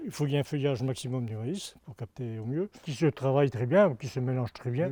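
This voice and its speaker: A man speaks at a very fast pace in a medium pitch with ordinary pitch variation. His tone is dark and mellow, and somewhat breathy. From Normandy, France. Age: 60s. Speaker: farmer. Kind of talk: testimony. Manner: halting, with repetitions and fillers.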